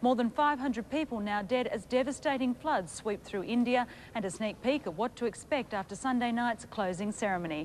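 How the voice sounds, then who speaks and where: A woman's fairly high voice in an Australian accent, lively in intonation, at a moderate pace, over light background noise. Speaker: television news presenter. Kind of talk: news reading. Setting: studio. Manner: formal. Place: studio. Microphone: lapel.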